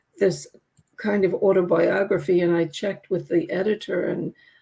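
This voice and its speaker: A dark, mellow tone with a touch of vocal fry, delivered at a fairly slow pace. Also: woman. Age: 80s+. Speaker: grief coach and author. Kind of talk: interview.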